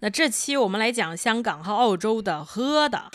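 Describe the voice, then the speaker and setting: With a fairly high pitch, a woman speaks at a fairly slow pace, her intonation lively and her tone animated. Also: very clean recording, silent background. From Qingdao, Shandong, China. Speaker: podcast co-host. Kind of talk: casual chat.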